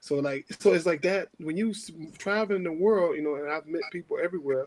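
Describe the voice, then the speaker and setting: Speaking at a moderate pace with a strong New Orleans accent, a man has a high pitch. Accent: New Orleans accent, still heavy. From New Orleans, uptown. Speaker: former pro basketball player, podcast guest-host. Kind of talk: casual chat. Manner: animated.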